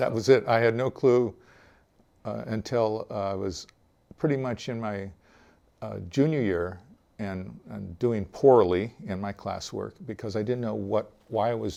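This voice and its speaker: A man speaks at a fairly slow pace in a fairly low voice. His tone is dark and mellow. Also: ordinary pitch variation, big swings in loudness. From US West Coast (Oregon, California, Hawaii), teens near Los Angeles. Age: 60s. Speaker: retired database designer telling his conversion story. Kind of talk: interview testimony. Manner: hesitant, many fillers (uh, um).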